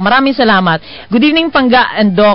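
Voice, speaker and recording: Music plays in the background as a woman speaks. Her pitch is fairly high and her intonation is lively. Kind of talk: casual, lively radio-caller banter. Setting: radio show. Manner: brash, loud, market-vendor-like.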